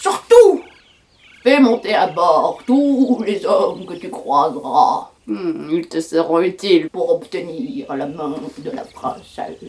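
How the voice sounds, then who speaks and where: A fairly slow pace and middle pitch in a put-on character voice. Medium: read story. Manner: slow, knowing.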